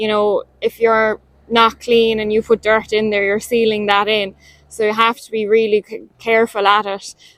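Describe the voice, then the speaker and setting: A woman with an Irish accent speaks at a moderate pace in a fairly high pitch, her intonation flat and monotone while her loudness swings widely, all in a dry, close sound with no echo. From Ireland, County Limerick. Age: young. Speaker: dairy farmer. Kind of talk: testimonial.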